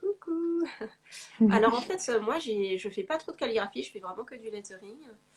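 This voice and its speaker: A woman's fairly high voice, with big swings in loudness and very wide pitch swings. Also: moderate pace. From Paris, France. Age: 40s. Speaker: lettering artist. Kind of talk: interview.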